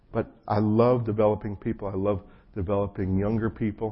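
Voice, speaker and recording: Somewhat breathy and fairly low-pitched, a man with an American accent speaks at a fairly quick pace in a monotone, flat intonation. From New Jersey. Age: 50s. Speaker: pastor. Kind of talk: sermon. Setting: church gathering with audience.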